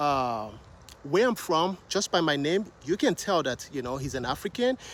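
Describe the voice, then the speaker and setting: Lively intonation and a moderate pace mark this speech in a Nigerian accent. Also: man. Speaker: vlogger. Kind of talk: casual vlog talk to camera. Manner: hesitant, many fillers.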